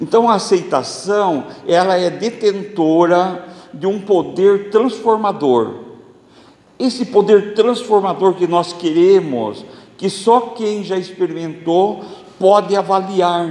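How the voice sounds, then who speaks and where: Over noticeable background noise and audible room echo, a man speaks very slowly at a high pitch with ordinary pitch variation. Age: 60s. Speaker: spiritist lecturer. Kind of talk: religious lecture.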